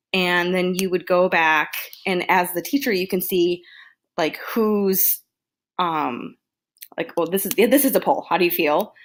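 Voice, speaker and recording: In a very clean recording with a silent background, a woman at medium pitch speaks at a fairly slow pace with ordinary pitch variation and long, frequent pauses. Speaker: education student. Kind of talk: tutorial. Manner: halting.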